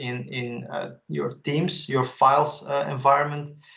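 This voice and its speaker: Delivered in a Dutch accent, the speech has monotone, flat intonation. The pace is moderate. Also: man. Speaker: tech expert presenter. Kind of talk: webinar presentation.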